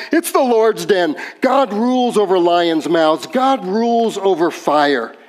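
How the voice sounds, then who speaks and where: Over noticeable background noise, a man with a high pitch speaks fairly slowly with lively intonation. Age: 60s. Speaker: pastor. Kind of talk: sermon.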